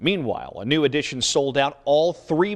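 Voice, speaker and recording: The man has an unremarkable speaking voice, fairly high in pitch, and he moves at a moderate pace with ordinary pitch variation. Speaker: TV news anchor and reporter. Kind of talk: TV news anchoring.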